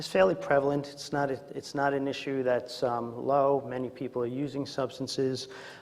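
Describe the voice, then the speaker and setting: A man with a Queens accent speaks at a medium pitch and moderate pace, with fairly even intonation. Noticeable background noise and audible room echo surround him. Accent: Queens, New York. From Queens, New York City. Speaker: psychologist and presenter on addiction. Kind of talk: conference presentation. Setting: conference room with audience, remote mic. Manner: frequent filler words and hesitations.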